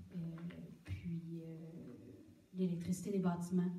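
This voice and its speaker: Somewhat breathy and dark, mellow in tone, a woman speaks at a fairly low pitch in a monotone, flat delivery with a Quebec accent and audible room echo. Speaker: municipal official answering council questions. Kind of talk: municipal council meeting. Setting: public council meeting with microphone. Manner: hesitant, many fillers.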